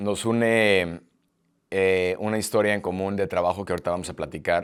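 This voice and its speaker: A man speaks slowly, though only fairly so, in a very deep, low voice on a very clean recording with a silent background. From Mexico. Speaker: podcast host. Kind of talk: interview conversation. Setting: in person, Paris. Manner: halting.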